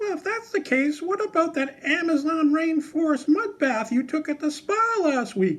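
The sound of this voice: A man puts on a cartoonish character voice at an extremely high pitch with big pitch swings. His tone is fairly bright and his pace moderate.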